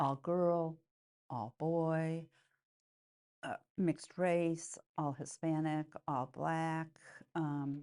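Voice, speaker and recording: Very slowly and with long, frequent pauses, a woman with an American accent speaks in a very deep, low voice with a dark, mellow tone and fairly even intonation against a quiet background. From US Midwest, Chicago. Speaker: nun and educator. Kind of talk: oral history interview. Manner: halting, many fillers.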